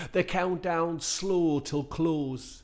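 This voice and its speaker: A man in a Geordie accent talks at a very slow pace. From northern England, Newcastle upon Tyne. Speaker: performance poet. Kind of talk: spoken word performance.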